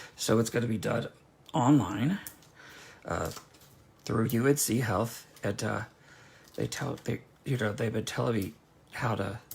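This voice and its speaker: A man with an American accent, medium pitch, vocal fry and ordinary pitch variation, at a fairly slow pace with long, frequent pauses. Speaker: craft demonstrator. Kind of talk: craft tutorial. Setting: livestream. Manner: rambling, halting.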